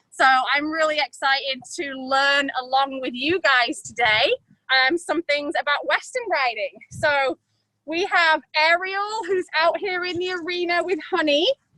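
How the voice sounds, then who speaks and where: A woman's raised, projected voice, high-pitched with a bright, sharp tone, at a fairly slow pace with ordinary pitch variation and a dry, close sound with no echo. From England. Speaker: riding instructor. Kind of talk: tutorial.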